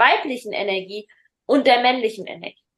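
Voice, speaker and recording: A woman speaks in a high voice at a moderate pace. Her intonation is lively. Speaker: parenting podcast host and coach. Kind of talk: casual chat. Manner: halting.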